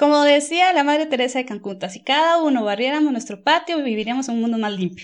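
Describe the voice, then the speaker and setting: Against a quiet background, a woman talks at a high pitch with lively intonation. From Costa Rica. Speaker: environmental management consultant. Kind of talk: interview.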